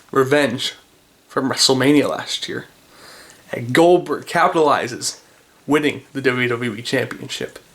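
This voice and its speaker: A man's fairly high voice, with ordinary pitch variation, moves at a moderate pace through noticeable background noise. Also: long, frequent pauses, big swings in loudness. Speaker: wrestling YouTuber. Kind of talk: solo commentary video. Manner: casual.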